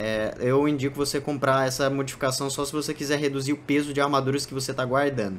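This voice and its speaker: A man with a Brazilian accent talks very fast. His pitch sits fairly high for a man. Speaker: gaming YouTuber. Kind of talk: gameplay tutorial commentary. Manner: casual, filler-heavy.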